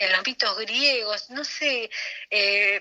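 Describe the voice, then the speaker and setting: Recorded with a dry, close sound and no echo, a woman speaks at a fairly high pitch in a bright, sharp tone. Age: 60s. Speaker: anthropologist. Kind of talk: interview. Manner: halting, many fillers and repetitions.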